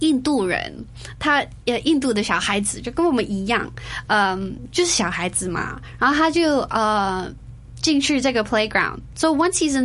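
Speaking at a moderate pace, a woman with a high pitch makes very wide pitch swings. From Singapore and Hong Kong. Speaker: interview guest. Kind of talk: casual interview. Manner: hesitant, many fillers; code-switching Chinese and English.

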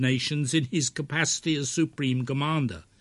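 A somewhat breathy, fairly high male voice at a moderate pace over a quiet background. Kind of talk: scripted narration. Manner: formal.

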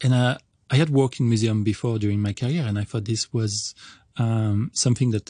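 A man with a French accent, medium pitch, ordinary pitch variation and a somewhat breathy quality, at a moderate pace, in a dry, close sound with no echo. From France. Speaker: entomologist professor. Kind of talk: radio interview. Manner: halting.

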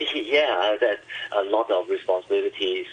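There is noticeable background noise in this recording. A man speaks over it at a fairly slow pace. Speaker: teacher union official. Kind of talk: radio interview. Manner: halting.

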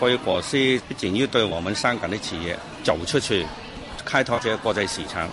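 There is noticeable background noise. Over it, a man with a fairly low pitch talks at a moderate pace. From Ili, Xinjiang. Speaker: local government official. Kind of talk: studio interview. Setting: radio studio.

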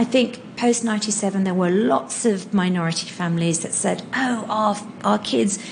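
There is noticeable background noise. Through it, a woman talks at a medium pitch. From Hong Kong. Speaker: NGO founder and charity leader. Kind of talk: interview.

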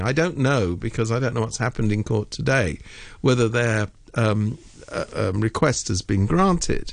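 A man with a British accent at a moderate pace, his pitch swinging very widely. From Britain. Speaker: political commentator. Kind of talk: radio interview. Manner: animated.

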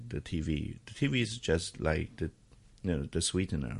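Vocal fry colors a man's voice as his pitch swings very widely. He keeps to a moderate speed. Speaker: media executive. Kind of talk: current affairs discussion. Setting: studio. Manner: halting.

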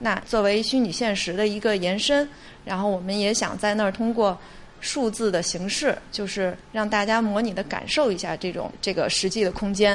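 At a moderate pace, a woman speaks at a medium pitch with fairly even intonation. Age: 40s. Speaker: museum digital department deputy director. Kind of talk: interview. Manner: hesitant with fillers.

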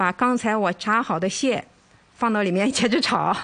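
A woman has an unremarkable speaking voice with a fairly high pitch. Her pitch variation is ordinary. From mainland China. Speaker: home cooking contestant. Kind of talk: cooking demonstration.

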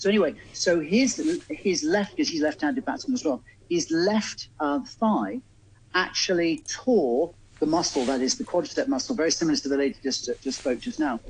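The speaker talks at a moderate pace with a southern English accent. The pitch swings very widely. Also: man, high pitch for a man. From England, Oxford. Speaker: bodywork and pain management therapist. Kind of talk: radio phone-in advice. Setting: remote studio link to radio show.

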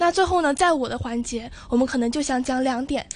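Her voice is high-pitched and her intonation lively. The woman speaks at a fairly quick pace. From Zhuhai, Guangdong. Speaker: university student debater. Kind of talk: radio interview.

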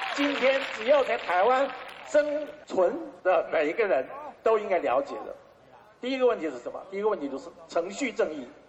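Fairly quick speech with big swings in loudness and long, frequent pauses, over noticeable background noise. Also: man. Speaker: publisher. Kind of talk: public speech.

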